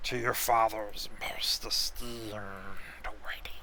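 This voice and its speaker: At a very slow pace, a man puts on a character voice at a medium pitch, with clear background noise present. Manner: formal, announcing.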